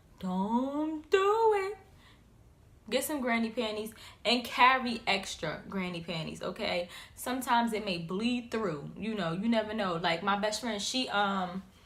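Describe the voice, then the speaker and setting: In an animated tone, a woman with a fairly high pitch speaks at a fairly slow pace with ordinary pitch variation. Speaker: YouTuber. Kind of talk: casual vlog tips.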